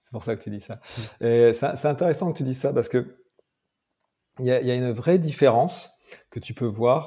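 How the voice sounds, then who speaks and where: A man with a dark, mellow tone and a somewhat breathy voice speaks at a moderate pace. He leaves long, frequent pauses in a very clean recording with a silent background. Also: medium pitch for a man, ordinary pitch variation, big swings in loudness. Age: 30s. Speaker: mental performance coach and MMA trainer. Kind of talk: casual interview.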